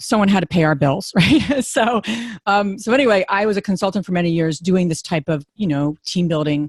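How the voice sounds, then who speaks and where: A woman with a New Jersey accent speaks at a fairly quick pace and medium pitch with lively intonation, in a very clean recording with a silent background and a dry, close sound with no echo. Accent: New Jersey American. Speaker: real estate investor and podcast host. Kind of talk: conference talk.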